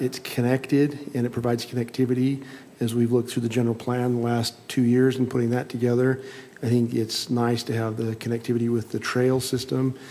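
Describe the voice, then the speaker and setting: Over noticeable background noise, a man of medium pitch talks at a fairly quick pace in a monotone, flat intonation. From Utah, Salt Lake City area. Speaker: planning commissioner. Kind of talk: public meeting deliberation.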